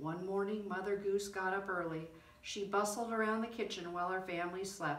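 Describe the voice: Here is plain reading aloud. Nothing else stands out.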